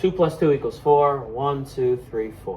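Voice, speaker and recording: With an American accent, a man speaks in an animated tone. Background noise is noticeable. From Buffalo, New York, US. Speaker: elementary school teacher. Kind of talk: math lesson for kids. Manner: loud.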